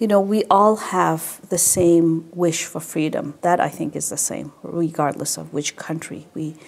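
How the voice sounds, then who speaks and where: Hardly pausing, a woman with a Tibetan accent speaks fairly slowly at a fairly low pitch with ordinary pitch variation. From Canada (Quebec, French-speaking). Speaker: Tibetan administration representative. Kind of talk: interview.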